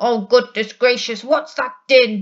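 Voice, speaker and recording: Talking fairly slowly, the speaker puts on a character voice. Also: woman. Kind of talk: bedtime story. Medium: read story.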